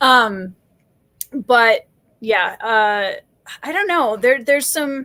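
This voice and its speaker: Loud and high-pitched, a woman speaks very slowly with lively intonation and long, frequent pauses. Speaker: fantasy author. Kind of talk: casual chat.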